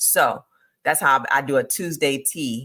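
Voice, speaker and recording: An animated woman's very deep, low voice with lively intonation. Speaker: direct sales consultant and business coach. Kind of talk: live stream business training. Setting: livestream with screen share. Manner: fast.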